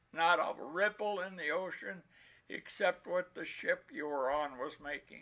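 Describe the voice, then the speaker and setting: Very slowly, a man talks in a high, bright and sharp voice with ordinary pitch variation. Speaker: war veteran. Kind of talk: talk to a school class.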